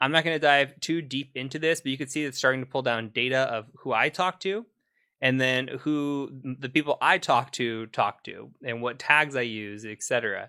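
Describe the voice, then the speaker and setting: A man speaks at a medium pitch with ordinary pitch variation and a bright, sharp tone. The recording is very clean, with a silent background. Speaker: cybersecurity instructor. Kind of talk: tutorial. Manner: fast; casual.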